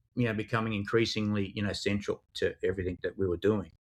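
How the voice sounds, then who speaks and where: A man talks at a very fast pace in an Australian accent. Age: 50s. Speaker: crypto investigations specialist, former police digital forensics expert. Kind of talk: podcast interview. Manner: hesitant, many fillers and repetitions.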